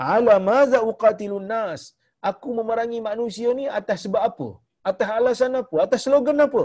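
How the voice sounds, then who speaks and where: With a Malaysian accent, a man speaks at an extremely high pitch with ordinary pitch variation. His pace is fairly quick, over a quiet background. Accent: Malaysian Malay. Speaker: religious teacher. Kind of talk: lecture. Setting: online video call.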